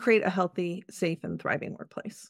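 In an ordinary speaking voice, a woman talks at a moderate pace with fairly even intonation. The recording is very clean, with a silent background. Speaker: workplace wellness consultant and author. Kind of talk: casual interview chat.

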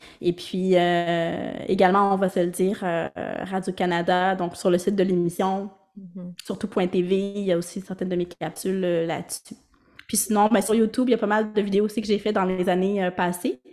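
Monotone and flat in intonation, a woman speaks at a moderate pace. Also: medium pitch for a woman. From Quebec, Montreal (Ville-Saint-Laurent). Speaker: speech-language pathologist. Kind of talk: interview.

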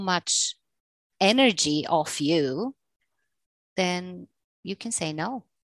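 Against a quiet background, a woman with a Bulgarian accent speaks at medium pitch with ordinary pitch variation. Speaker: English teacher and freelancer. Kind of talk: casual interview.

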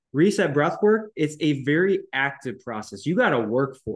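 A man's unremarkable speaking voice, fairly high in pitch, at a moderate pace, dry and close with no echo. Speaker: naturopathic doctor and breathwork teacher. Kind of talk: casual interview chat.

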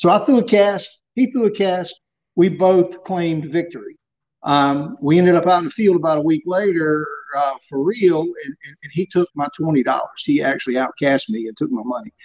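Speaking at a moderate pace, a man with a high pitch talks in a coastal North Carolina accent. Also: lively intonation. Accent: US Southern (coastal North Carolina). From Southeast North Carolina. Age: 50s. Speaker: surf casting expert. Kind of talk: interview.

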